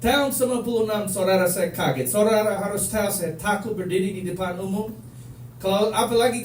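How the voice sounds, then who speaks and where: Speaking at a fairly quick pace, a man with a Manado accent uses a high pitch and ordinary pitch variation, with noticeable background noise and audible room echo. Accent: Manado accent in Indonesian. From United States. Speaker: preacher. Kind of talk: sermon. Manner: animated.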